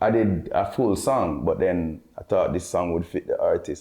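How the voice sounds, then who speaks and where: A man with a Jamaican accent, at a moderate pace. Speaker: dancehall artist and producer. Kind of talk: interview. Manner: halting.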